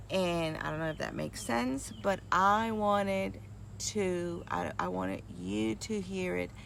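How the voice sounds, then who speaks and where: Audible room echo surrounds a woman speaking at a very slow pace. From New York and Puerto Rico (moved at eight). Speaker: nurse and retreat host. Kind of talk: casual talk to a group.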